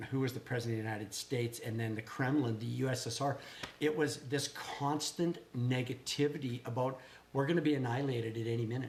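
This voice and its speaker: Noticeable background noise sits under the speech. The talking is at a very fast pace. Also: man, medium pitch for a man. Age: 60s. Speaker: small business owner, vlogger. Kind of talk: casual chat. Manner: animated.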